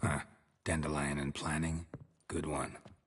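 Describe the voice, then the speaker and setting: Putting on a character voice, a man speaks in a raspy, very deep, low register with a deadpan tone, monotone, flat intonation and a moderate pace. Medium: video game. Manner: terse, deadpan.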